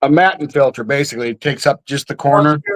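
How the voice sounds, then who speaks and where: Recorded dry and close with no echo, the voice shows ordinary pitch variation. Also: man. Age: 60s. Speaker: live stream participant showing his aquarium. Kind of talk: casual chat.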